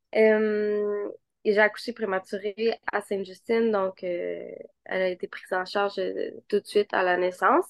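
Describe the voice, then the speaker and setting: In a Quebec accent, a woman talks at a fairly slow pace with a medium pitch and monotone, flat intonation, her sound dry and close with no echo. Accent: Québécois French. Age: 20s. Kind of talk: casual interview.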